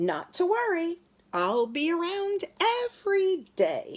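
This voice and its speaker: A put-on character voice unfolds at a fairly slow pace. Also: woman, extremely high pitch for a woman. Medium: read story. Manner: chirpy, enthusiastic.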